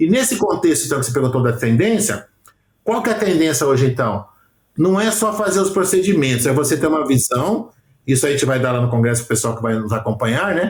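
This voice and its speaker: A somewhat breathy man with a fairly high voice speaks very fast, his pitch swinging very widely. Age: 60s. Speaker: aesthetics professional and educator. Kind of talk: podcast interview. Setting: remote call.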